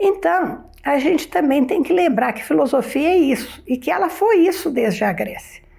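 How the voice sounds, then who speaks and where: A woman's pitch swings very widely as she talks at a fairly slow pace. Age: 70s. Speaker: retired philosophy professor. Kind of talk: interview.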